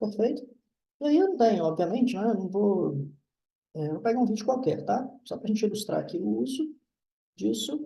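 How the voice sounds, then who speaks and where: A man's high-pitched, dark and mellow voice with lively intonation, a moderate pace, long and frequent pauses, and audible room echo. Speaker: university professor. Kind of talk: lecture.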